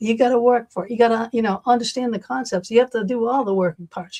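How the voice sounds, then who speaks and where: Speaking very fast, a woman uses a fairly high pitch with an American accent. The sound is dry and close, with no echo. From Massachusetts. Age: 60s. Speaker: talk show host. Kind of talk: casual interview chat. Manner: animated.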